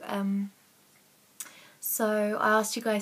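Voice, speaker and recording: At a very slow pace, a woman speaks with a bright, sharp tone at a fairly high pitch. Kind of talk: casual Q&A talk to camera. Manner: hesitant, lots of ums and stutters.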